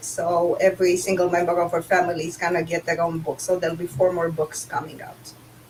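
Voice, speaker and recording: A woman speaks at a medium pitch in a Romanian accent. Noticeable noise sits in the background. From Romania, Bucharest. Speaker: author. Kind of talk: casual chat.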